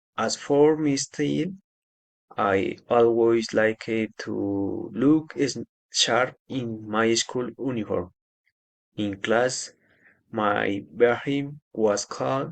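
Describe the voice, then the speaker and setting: A man with a Spanish accent speaks at a very slow pace and a medium pitch, with ordinary pitch variation and long, frequent pauses against a quiet background. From Colombia, Nariño (Ipiales). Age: 20s. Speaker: agronomy student. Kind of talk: class assignment presentation. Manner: halting.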